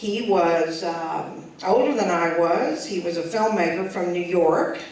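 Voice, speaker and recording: Through noticeable background noise, a woman speaks at a fairly slow pace in a fairly low pitch. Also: ordinary pitch variation. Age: 60s. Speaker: performer. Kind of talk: storytelling performance.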